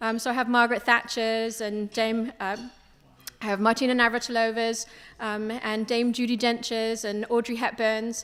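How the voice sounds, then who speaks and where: With a British accent, a woman speaks at a fairly high pitch and a moderate pace. Her intonation is monotone and flat. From international upbringing, partly British island. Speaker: business owner, investment firm CEO. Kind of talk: panel discussion.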